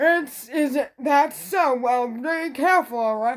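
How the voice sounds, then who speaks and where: A high-pitched, female-sounding put-on character voice at a fairly slow pace, on a very clean recording with a silent background. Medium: read story.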